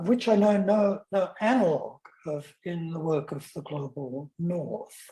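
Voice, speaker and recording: This man has an Australian accent and a high pitch with ordinary variation. His tone is dark and mellow. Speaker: academic lecturer. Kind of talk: lecture. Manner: halting, many fillers.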